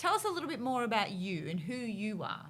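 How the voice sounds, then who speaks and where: With an Australian accent, a woman talks at a very fast pace with lively intonation. Audible room echo surrounds her voice. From North Queensland, Australia. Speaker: podcast host. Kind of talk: casual interview chat.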